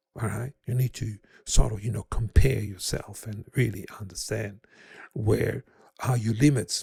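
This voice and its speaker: A man talks at a moderate pace with a fairly low pitch, a dark, mellow tone and vocal fry. The sound is dry and close, with no echo. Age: 70s. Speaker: guitarist and music rehabilitation teacher. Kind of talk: presentation. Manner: halting, many fillers.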